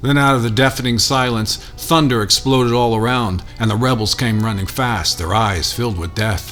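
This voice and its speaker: Music plays in the background as a man speaks at a medium pitch. His pace is moderate, with ordinary pitch variation. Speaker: spoken word poet. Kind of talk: poetry reading.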